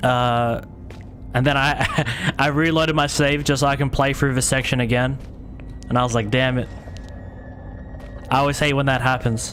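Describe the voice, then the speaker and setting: In an Australian accent, the speaker uses monotone, flat intonation and very even loudness with long, frequent pauses, while noticeable background noise and audible room echo fill the recording. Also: man, medium pitch for a man. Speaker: gaming streamer. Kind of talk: live game stream commentary. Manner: fast.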